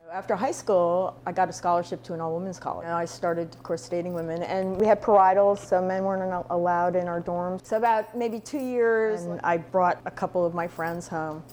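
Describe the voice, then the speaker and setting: Hardly pausing, a woman talks at a fairly quick pace in a plain, everyday voice of medium pitch. Her pitch varies in an ordinary way, while her loudness swings widely. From outside the US. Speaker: interviewee. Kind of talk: testimony.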